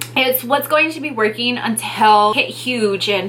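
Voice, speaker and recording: Over noticeable background noise, a woman speaks at a fairly high pitch with ordinary pitch variation. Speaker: beauty and lifestyle YouTuber giving beginner tips. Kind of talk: casual vlog tutorial. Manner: quiet, shy delivery.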